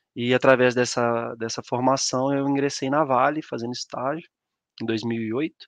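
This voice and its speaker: Speaking at a fairly slow pace, a man holds a medium pitch in a monotone, flat intonation. The sound is dry and close with no echo, with a quiet background. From Brazil, Minas Gerais (São João del Rei). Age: 30s. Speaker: mining operations engineer. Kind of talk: live-stream presentation. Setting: online live stream.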